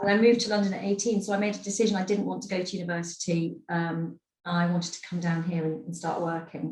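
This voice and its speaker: Barely pausing, a woman with a fairly low pitch speaks at a very fast pace with fairly even intonation. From Scotland, Edinburgh. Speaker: advertising industry executive. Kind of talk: webinar talk.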